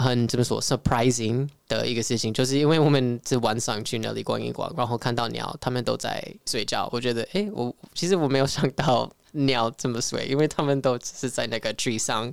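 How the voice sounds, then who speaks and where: A man with a medium-pitched voice talks at a fairly quick pace, with ordinary pitch variation. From California, US (Filipino-American). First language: English (speaking Chinese). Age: young. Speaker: traveler and Mandarin learner. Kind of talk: casual interview chat. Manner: halting, searching for words.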